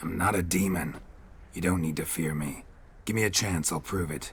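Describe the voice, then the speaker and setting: A man growls in a put-on character voice with a very deep, low pitch. He keeps a moderate pace over light background noise. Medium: video game. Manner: terse, flat, dry.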